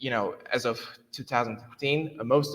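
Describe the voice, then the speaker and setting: In a Turkish accent, a man speaks at a fairly high pitch. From Turkey. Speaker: software developer. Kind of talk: conference talk. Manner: halting, many fillers.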